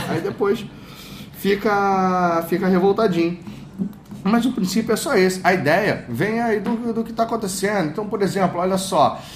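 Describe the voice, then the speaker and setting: A man speaks at a moderate pace in a high voice, with noticeable background noise. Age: 30s. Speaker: copywriter and coach. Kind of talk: casual interview chat.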